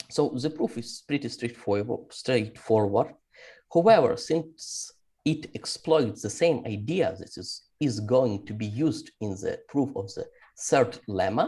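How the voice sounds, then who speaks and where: A man with a medium pitch and a dark, mellow tone speaks at a fairly slow pace, somewhat breathy, with lively intonation. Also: big swings in loudness. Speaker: mathematician. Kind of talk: lecture. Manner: halting.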